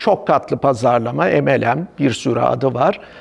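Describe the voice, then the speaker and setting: Using vocal fry, a man speaks at a very slow pace. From Ankara, Turkey. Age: old. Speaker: company founder and marketing executive. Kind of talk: personal introduction. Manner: hesitant fillers.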